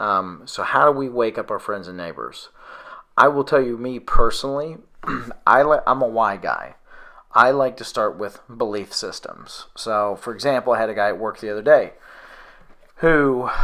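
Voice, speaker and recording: A loud man's voice of medium pitch with a bright, sharp tone, ordinary pitch variation, a moderate pace and long, frequent pauses. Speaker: conspiracy video host. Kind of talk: casual conversation.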